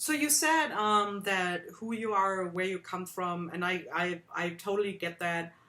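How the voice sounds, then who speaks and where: Lively intonation marks this woman's speech. Her tone is bright and sharp, with a slight German accent. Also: medium pitch for a woman, fairly slow pace, hardly any pauses. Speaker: art workshop host. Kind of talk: interview.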